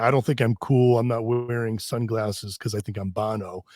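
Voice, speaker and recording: In a very clean recording with a silent background and a dry, close sound with no echo, a man with an unremarkable speaking voice and an American accent talks at a moderate pace, medium in pitch with ordinary pitch variation. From US Northeast, Connecticut. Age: 50s. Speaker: fitness expert and research scientist. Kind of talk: podcast interview. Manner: casual, many restarts and fillers.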